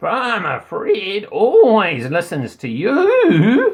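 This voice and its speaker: Using a put-on character voice, a man draws out his words at a very slow pace. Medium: read story.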